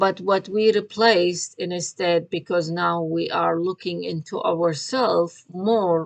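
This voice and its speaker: A woman speaks at a very slow pace. Her pitch is fairly low, with ordinary pitch variation. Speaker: tarot reader and spiritual vlogger. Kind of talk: casual monologue vlog. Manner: halting, many fillers.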